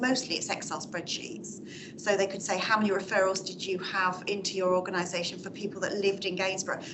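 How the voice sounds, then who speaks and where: Over noticeable background noise, a woman with a medium pitch talks at a fairly quick pace in a monotone, flat intonation. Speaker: audience member, public sector manager. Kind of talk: Q&A contribution at a talk.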